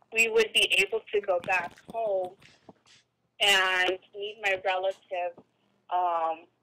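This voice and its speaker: Bright and sharp at medium pitch, a woman's voice moves at a very slow pace with long, frequent pauses and monotone, flat intonation, in a dry, close sound with no echo. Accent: Spanish. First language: Spanish. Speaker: podcast host. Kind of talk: casual chat.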